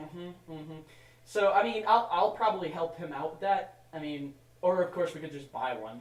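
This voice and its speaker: A man with a high pitch talks at a moderate pace with lively intonation and big swings in loudness, over noticeable background noise. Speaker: podcast host. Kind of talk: casual chat.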